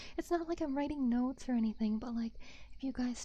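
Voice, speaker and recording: A woman speaks in a soft-spoken way. Her tone is dark and mellow. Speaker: vtuber. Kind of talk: casual livestream chat. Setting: binaural microphone.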